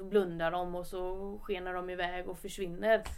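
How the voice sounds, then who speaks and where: Room echo is audible here. A woman talks at a moderate pace. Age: 20s. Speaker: footballer. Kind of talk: podcast interview. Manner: casual.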